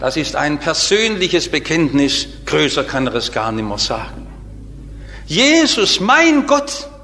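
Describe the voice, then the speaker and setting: Noticeable noise fills the background. Over it, a man talks very slowly. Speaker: preacher. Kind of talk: sermon. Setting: church. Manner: formal; earnest.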